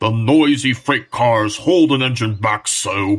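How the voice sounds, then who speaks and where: A man uses a put-on character voice at a medium pitch. He speaks at a fairly slow pace. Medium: audio drama. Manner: pompous, haughty.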